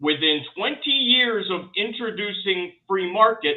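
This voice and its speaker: Animated in tone, a man talks with an American accent. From rural US. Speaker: conservative commentator. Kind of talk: casual panel discussion. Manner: animated, many restarts and repetitions.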